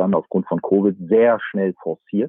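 At a moderate pace, a man speaks in a plain, everyday voice. His pitch sits fairly low. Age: 40s. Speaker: fund manager. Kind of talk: interview. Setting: remote call from a camper van.

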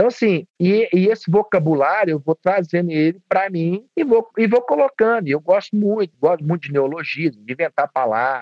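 A man's high-pitched voice at a moderate pace. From Minas Gerais, Divinópolis. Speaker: baker. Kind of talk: casual chat.

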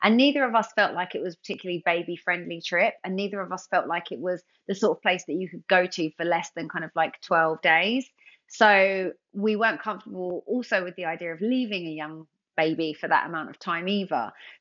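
A woman with a London accent speaks at a fairly quick pace in a medium pitch, her loudness swinging widely while her pitch varies in an ordinary way. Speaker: TV presenter and former dancer. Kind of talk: casual interview chat.

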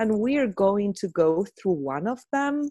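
With an Argentine accent and a dark, mellow tone, a woman's voice moves through very wide pitch swings. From Argentina. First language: Spanish. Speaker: psychotherapist and trainer. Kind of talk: guided meditation and interview.

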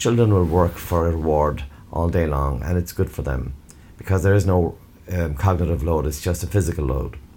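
A man with an Irish accent speaks at a moderate pace in a very deep, low pitch, somewhat breathy and dark, mellow in tone, with ordinary pitch variation. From Ireland. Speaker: educator. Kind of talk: interview.

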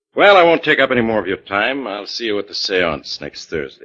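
A man's put-on character voice, fairly low in pitch, with a bright, sharp tone, big pitch swings and a fairly quick pace

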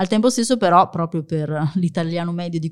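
At a fairly quick pace, a woman with a fairly low pitch speaks on a very clean recording with a silent background. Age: 40s. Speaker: future-of-work author and employer branding manager. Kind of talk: interview. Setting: coworking space studio.

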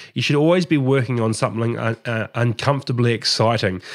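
Talking at a very fast pace in a New Zealand accent, a man has a medium pitch and ordinary pitch variation on a very clean recording with a silent background. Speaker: podcast host. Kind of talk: casual interview. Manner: halting, many fillers and repetitions.

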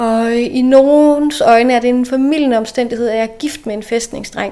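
With an unremarkable speaking voice, a woman talks at a moderate pace, her pitch fairly high and her intonation fairly even. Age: 30s. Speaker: local politician. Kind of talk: interview. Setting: in person, same room.

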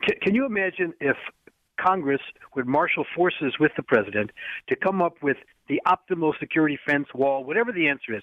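Lively intonation marks this man's fairly high voice as he talks at a fairly quick pace. He has an unremarkable speaking voice. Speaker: legal analyst. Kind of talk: radio interview.

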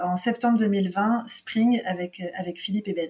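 A woman with an unremarkable speaking voice talks at medium pitch with fairly even intonation. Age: 40s. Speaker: marketing entrepreneur. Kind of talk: interview.

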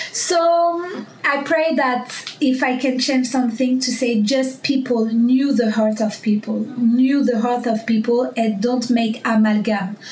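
A woman with a French accent and a high pitch, fairly slow, with hardly any pauses, very even loudness, ordinary pitch variation and noticeable background noise. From Paris, France. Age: 20s. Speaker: bank worker. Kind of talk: casual interview chat. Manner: aggressive when she talks.

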